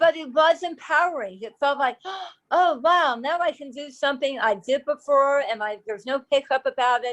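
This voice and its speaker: A dry, close sound with no echo carries speech at a moderate pace, with big swings in loudness and ordinary pitch variation. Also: woman, high pitch for a woman. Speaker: oral cancer survivor and awareness advocate. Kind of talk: interview. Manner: halting.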